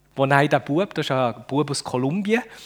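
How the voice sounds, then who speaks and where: A man talks in an animated tone with lively intonation and a fairly high pitch, at a moderate pace. He speaks with a Fribourg accent. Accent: Fribourg Swiss German dialect. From Switzerland, Düdingen near Fribourg. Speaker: speaker with a bionic prosthetic hand. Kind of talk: talk to children. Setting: stage with audience.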